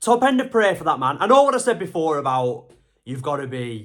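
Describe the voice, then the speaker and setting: A man speaks very fast at a fairly high pitch, his tone animated and his pitch swinging very widely. The recording is very clean, with a silent background. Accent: English. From England. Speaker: MMA YouTuber. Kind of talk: casual analysis monologue. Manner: conversational, animated.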